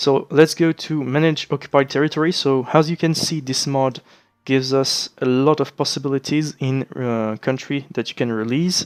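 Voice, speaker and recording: A man's fairly high voice with a French accent, fairly even intonation, a moderate pace, and a dry, close sound with no echo. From France. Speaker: gaming let's play creator. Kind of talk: let's play commentary. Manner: hesitant, many fillers.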